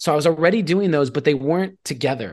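Over a quiet background, a man with an ordinary speaking voice talks at a fairly high pitch with ordinary pitch variation. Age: 30s. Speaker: artist and entrepreneur, mentor. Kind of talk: interview.

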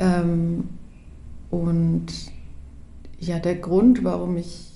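Medium pitch from a woman, carried with audible room echo. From Upper Franconia, Bavaria, Germany (Hof). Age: 30s. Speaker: project participant. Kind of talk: casual chat.

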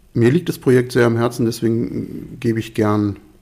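With an unremarkable speaking voice, a man talks at a medium pitch and a fairly slow pace, using ordinary pitch variation. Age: 50s. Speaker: resident of a co-housing project. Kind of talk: interview. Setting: at home, living room.

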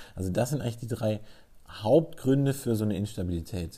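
A man's dark, mellow tone carries his words along at a moderate pace. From southwestern Germany, Freiburg. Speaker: sports physiotherapist. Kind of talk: expert interview. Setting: office.

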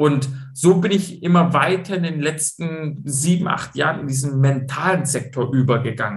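A man at a fairly high pitch and fairly slow pace, with ordinary pitch variation. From Swabia, Stuttgart (southwest Germany). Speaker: football coach and mental training entrepreneur. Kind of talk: interview.

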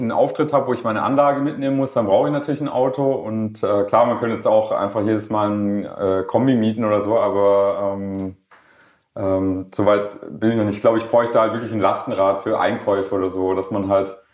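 His intonation is fairly even and his pitch medium. The man moves along at a fairly quick pace. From Swabia, Germany (Schorndorf near Stuttgart). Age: 40s. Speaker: rapper. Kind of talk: casual interview. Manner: hesitant, many fillers.

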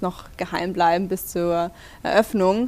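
A woman talks at a fairly slow pace in an ordinary speaking voice. Her intonation stays fairly even. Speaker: store manager. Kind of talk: interview. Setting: in the store.

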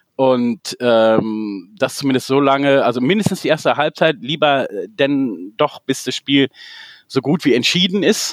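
The recording has a dry, close sound with no echo, and a man talks at a fairly slow pace in an ordinary speaking voice. His pitch is fairly high, with lively intonation. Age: 40s. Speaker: football fan club founder. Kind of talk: casual chat.

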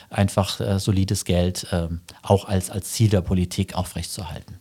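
In a very clean recording with a silent background, a man speaks at a moderate pace with a dark, mellow tone and fairly low pitch. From Germany, Saarland. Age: 50s. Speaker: financial journalist. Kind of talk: interview.

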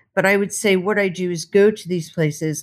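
This very clean recording with a silent background features a woman with a fairly low pitch. She has an unremarkable speaking voice with ordinary pitch variation. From United States. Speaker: war correspondent. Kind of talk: interview.

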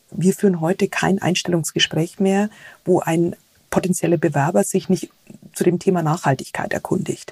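The woman's voice is somewhat breathy and fairly low in pitch, with fairly even intonation and very even loudness. The sound is dry and close, with no echo. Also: moderate pace. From Germany, rural. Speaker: tech company sustainability manager. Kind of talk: interview.

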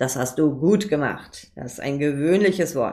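This woman has a very deep, low pitch and a dark, mellow tone, with ordinary pitch variation. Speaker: podcast host, copywriter. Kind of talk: solo podcast tutorial. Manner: fast, talks without pause; casual, many filler sounds.

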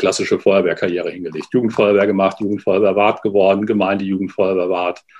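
Very fast and monotone, with flat intonation, a man speaks at a fairly low pitch. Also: hardly any pauses. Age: 40s. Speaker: youth fire brigade leader. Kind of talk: interview. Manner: halting, many fillers.

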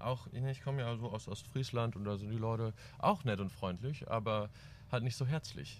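Somewhat breathy, a man speaks at a fairly quick pace, his medium pitch moving with ordinary variation. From East Frisia, northern Germany. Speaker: band drummer. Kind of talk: casual chat.

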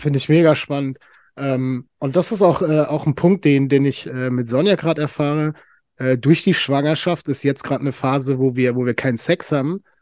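A man's fairly high pitch at a fairly quick pace, ordinary pitch variation, dry, close sound with no echo, and a quiet background. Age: 30s. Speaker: podcast host. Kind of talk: casual chat.

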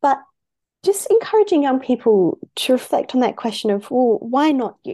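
Against a quiet background, a woman with an Australian accent and a dark, mellow tone speaks at a moderate pace with very wide pitch swings. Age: 20s. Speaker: youth advocacy founder and CEO. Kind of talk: interview.

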